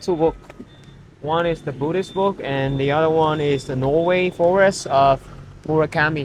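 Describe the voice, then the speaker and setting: A man with a fairly high pitch speaks in fairly even intonation over noticeable background noise. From Vietnam. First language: Vietnamese. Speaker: photography vlogger. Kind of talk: casual vlog narration. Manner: halting.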